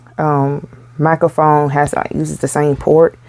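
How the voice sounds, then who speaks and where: Soft-spoken and very deep in pitch, a woman talks at a fairly slow pace. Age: 30s. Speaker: amateur makeup vlogger. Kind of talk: makeup tutorial. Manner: soft-spoken, talking low; casual, chatty.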